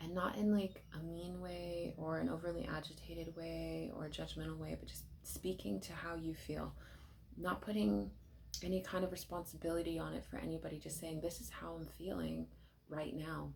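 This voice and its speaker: A soft-spoken woman is talking. Room echo is audible. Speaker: tarot card reader. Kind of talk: tarot reading. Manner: casual, with many fillers.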